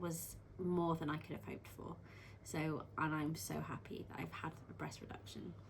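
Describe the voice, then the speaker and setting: A woman's fairly low voice with vocal fry, fairly even intonation and a moderate pace, in audible room echo. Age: 20s. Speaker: midwife and surgery patient. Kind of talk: interview. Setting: on camera beside her mother. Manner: hesitant, many ums.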